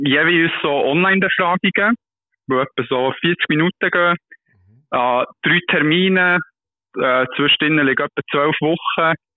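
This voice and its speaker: A man uses an ordinary speaking voice at a fairly slow pace, with ordinary pitch variation. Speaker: doctoral researcher. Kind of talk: casual interview explaining a study. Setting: phone call. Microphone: poor phone line, hard to hear.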